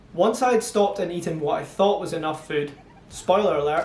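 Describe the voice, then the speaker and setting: A high-pitched man with a Scottish accent, with noticeable background noise and audible room echo. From Scotland (Montrose, Angus). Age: 30s. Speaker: amateur trail runner, vlogger. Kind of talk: scripted narration.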